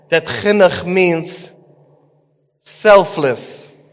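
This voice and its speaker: A man speaks in a high voice, with audible room echo. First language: Yiddish. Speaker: parenting coach and Torah teacher. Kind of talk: lecture.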